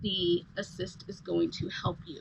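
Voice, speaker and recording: A woman speaks with a bright, sharp tone. Her voice carries vocal fry. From England. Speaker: lifestyle coach and vlogger. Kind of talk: tutorial. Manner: casual, hesitant with fillers.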